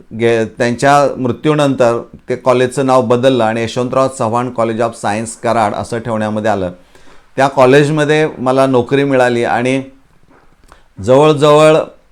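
His intonation fairly even, a man talks with a medium-pitched voice. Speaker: retired chemistry lecturer, education YouTuber. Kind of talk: talk to camera. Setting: small room at home. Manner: halting.

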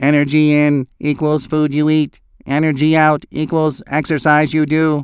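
A man does a cartoonish character voice at a fairly high pitch. He keeps a moderate pace and a monotone, flat intonation. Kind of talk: cartoon voice acting. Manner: curt, matter-of-fact.

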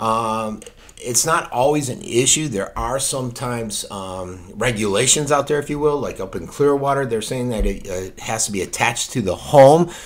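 The pace of this man's speech is moderate. His pitch shows ordinary variation. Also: hardly any pauses. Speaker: local news commentator. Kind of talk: unscripted opinion talk to camera. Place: home room. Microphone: studio mic.

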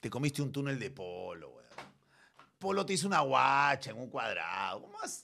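A man talks at a fairly quick pace in an animated tone. The background is quiet. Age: 50s. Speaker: streamer. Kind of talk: casual chat. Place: studio. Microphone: studio mic.

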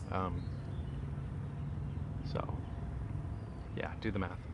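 The pace is very slow. There is little pitch movement. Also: man, low pitch for a man.

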